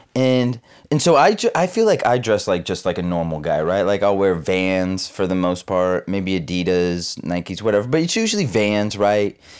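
Over a very clean recording with a silent background, a man with a fairly low pitch talks at a moderate pace, with ordinary pitch variation and hardly any pauses. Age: 20s. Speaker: podcast host, restaurant server. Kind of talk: casual monologue. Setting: recording in bed. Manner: halting, many fillers.

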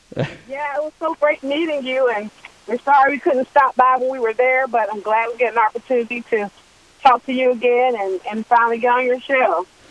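In an American accent, a high-pitched woman speaks at a fairly quick pace with ordinary pitch variation, the sound dry and close with no echo, amid noticeable background noise. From Washington D.C. area. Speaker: singer. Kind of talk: radio interview.

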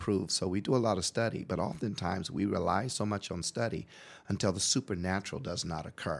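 A man with an American accent speaks at a fairly quick pace in a normal speaking voice. His pitch is fairly low and varies in an ordinary way. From Portland, Oregon. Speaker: pastor. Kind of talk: radio interview. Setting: studio.

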